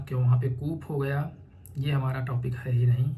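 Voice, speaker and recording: Audible room echo surrounds a man's somewhat breathy voice with a dark, mellow tone. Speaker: UPSC aspirant and educational YouTuber. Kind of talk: informal explanatory talk. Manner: conversational.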